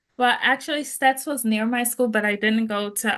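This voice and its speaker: A woman with a fairly high pitch and a bright, sharp tone speaks over a quiet background. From Jamaica. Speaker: interview guest. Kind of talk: testimony.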